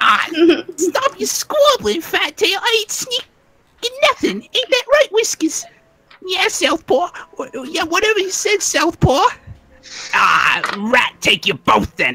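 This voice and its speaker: A put-on character voice in a Brooklyn accent, pitched extremely high. It moves at a fairly slow pace with very wide pitch swings. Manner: irritated, scolding.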